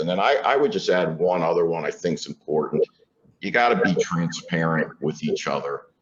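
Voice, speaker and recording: Speaking at a moderate speed, this man has an American accent. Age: 60s. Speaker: corporate CEO. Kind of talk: fireside chat interview. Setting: stage with audience at conference. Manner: conversational, many filler words.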